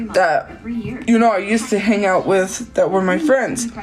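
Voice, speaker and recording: Noticeable background noise sits behind a woman speaking at a very slow pace. Her pitch variation is ordinary. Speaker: livestreamer. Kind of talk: casual livestream chat. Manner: loud.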